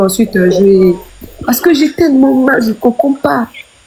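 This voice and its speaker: A woman's high-pitched voice with very wide pitch swings, a fairly quick pace and noticeable background noise. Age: 20s. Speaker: live stream guest sharing personal story. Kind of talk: emotional testimony on a live stream. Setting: live stream. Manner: halting, repeating words.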